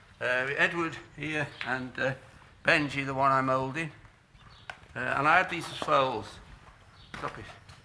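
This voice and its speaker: Amid noticeable background noise, a man with a fairly high voice speaks fairly slowly, with long, frequent pauses and big swings in loudness. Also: fairly even intonation. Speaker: horse trainer. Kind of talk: tutorial. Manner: halting, many fillers.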